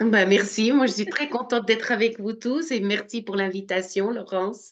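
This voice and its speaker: A moderate pace and ordinary pitch variation with a slight Swiss French accent. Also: woman, fairly high pitch for a woman. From Switzerland, Swiss Jura. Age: 60s. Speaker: spiritual medium. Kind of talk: interview. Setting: live video stream.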